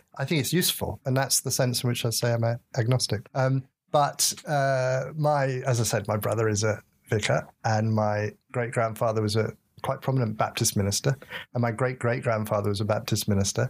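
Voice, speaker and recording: In an English accent, a man speaks somewhat breathily at a fairly quick pace and medium pitch, with fairly even intonation, very even loudness, and a very clean recording over a silent background. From England. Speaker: professor. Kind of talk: interview. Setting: studio.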